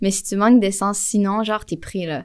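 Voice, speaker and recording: A woman with a Quebec accent at a fairly quick pace, on a very clean recording with a silent background. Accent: Québécois French. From Quebec, Montreal. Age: 20s. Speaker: motion designer. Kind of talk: casual interview. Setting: in person at a festival.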